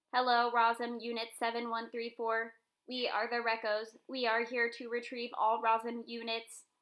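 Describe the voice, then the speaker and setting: Putting on a robotic character voice, a woman speaks fairly high with monotone, flat intonation. Her pace is moderate. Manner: emotionless, mechanical.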